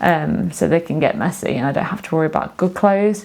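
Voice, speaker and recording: Someone speaks with an English accent at a fairly quick pace, using lively intonation. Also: woman. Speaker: sewing and knitting vlogger. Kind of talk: casual video monologue. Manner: fast; hesitant, many fillers.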